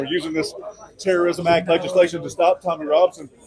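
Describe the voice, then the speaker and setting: A man with an American accent talks at a very fast pace with ordinary pitch variation over noticeable background noise. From United States. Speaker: podcast host and political commentator. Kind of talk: interview answer. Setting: outdoors. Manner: casual, indignant.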